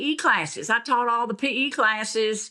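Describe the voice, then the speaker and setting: A woman's raised, projected voice with a Southern US accent, bright and sharp in tone, at a moderate pace. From US South (Tennessee, Alabama). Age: 70s. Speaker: basketball coach. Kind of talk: interview.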